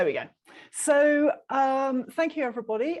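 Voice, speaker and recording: A woman's high voice with a British accent. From UK. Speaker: printmaker. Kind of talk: presentation talk.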